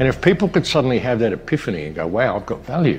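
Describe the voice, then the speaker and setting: A man speaks with music playing in the background. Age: 60s. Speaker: online commentator and filmmaker. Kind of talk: monologue to camera. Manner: earnest, repetitive with false starts.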